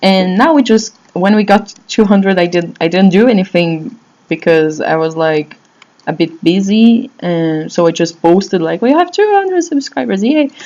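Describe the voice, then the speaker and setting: A woman with a Brazilian Portuguese accent and lively intonation. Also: medium pitch for a woman, moderate pace. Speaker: blogger answering fan questions. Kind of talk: casual vlog talk. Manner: halting, many fillers and restarts.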